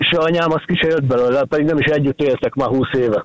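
A man with a fairly high pitch talks at a fairly quick pace, in a dry, close sound with no echo and noticeable background noise. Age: 40s. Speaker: food delivery courier, radio caller. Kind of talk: personal story on a radio call-in. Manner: halting.

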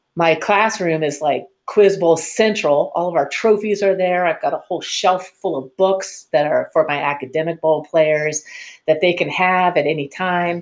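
A woman with a plain, everyday voice speaks at a moderate pace with fairly low pitch. Her pitch varies in an ordinary way, and she hardly pauses. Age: 50s. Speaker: quiz bowl coach and teacher. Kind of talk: interview.

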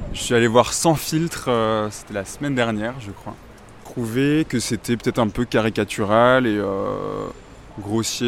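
Speaking at a very slow pace, a man at medium pitch keeps his intonation fairly even while his loudness swings widely. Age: 20s. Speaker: student. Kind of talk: street interview.

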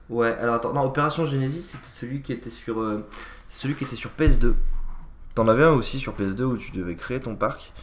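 There is audible room echo as a man speaks at a moderate pace in a medium pitch. His pitch varies in an ordinary way, while his loudness swings widely. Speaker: video game podcast co-host. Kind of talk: casual chat.

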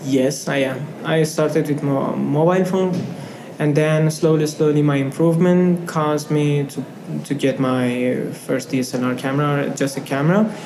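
A man talks at a middling speed with mostly level intonation, his voice echoing in the room amid clear background noise. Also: fairly high pitch for a man. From Afghanistan. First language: not English. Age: 20s. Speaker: refugee student and photographer. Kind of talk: interview. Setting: office. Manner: hesitant, with fillers.

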